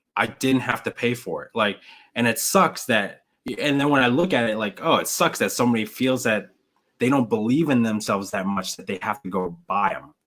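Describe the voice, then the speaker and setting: Ordinary pitch variation marks this fairly quick speech. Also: man, medium pitch for a man. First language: not English. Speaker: YouTuber and reseller. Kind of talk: live stream chat. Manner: animated; loud.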